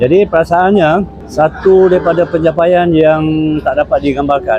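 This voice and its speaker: Over music in the background, a man with fairly high pitch talks at a moderate pace with fairly even intonation. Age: 70s. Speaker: PhD graduate, retiree. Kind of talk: interview testimony.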